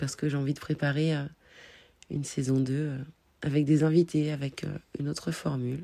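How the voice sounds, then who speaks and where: A woman's very deep, low voice with a dark, mellow tone, monotone and flat, at a moderate pace with long, frequent pauses, in a very clean recording with a silent background. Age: 30s. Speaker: podcaster and life coach. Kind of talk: personal monologue podcast. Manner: hesitant with fillers.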